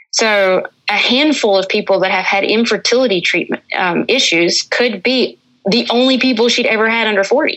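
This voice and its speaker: A woman with an Appalachian accent talks at a moderate pace. Her voice is fairly high in pitch, with ordinary pitch variation and very even loudness. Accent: Appalachian Southern US. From US South, northwestern North Carolina mountains. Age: 30s. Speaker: hunting guide and cancer patient. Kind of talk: casual interview.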